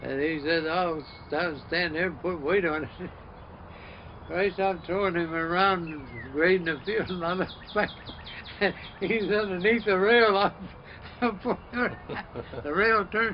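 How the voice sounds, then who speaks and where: A man with an American accent speaks at a fairly slow pace in a high pitch, with long, frequent pauses. Noticeable background noise sits behind the voice. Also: ordinary pitch variation. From US Northeast. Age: 80s+. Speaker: elderly local resident. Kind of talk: oral history interview. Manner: halting.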